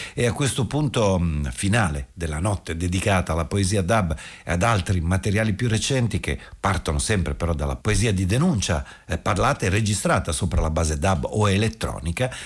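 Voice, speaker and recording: A man talks at a very fast pace with lively intonation. His pitch is very deep and low, with vocal fry. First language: Italian. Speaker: radio host. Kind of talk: late-night radio presentation. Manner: formal, fluent, informative.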